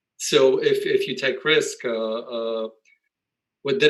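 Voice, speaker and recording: A man speaks with a Polish accent. His pace is moderate. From Poland. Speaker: real estate investor. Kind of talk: interview. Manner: halting.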